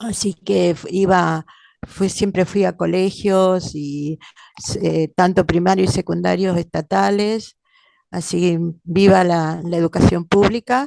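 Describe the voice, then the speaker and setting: A woman with a dark, mellow tone and fairly low pitch speaks at a very slow pace with fairly even intonation, in a dry, close sound with no echo and a quiet background. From Argentina, Entre Ríos (Basavilbaso). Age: 70s. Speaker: lawyer, former political prisoner. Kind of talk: interview. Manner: halting, many fillers.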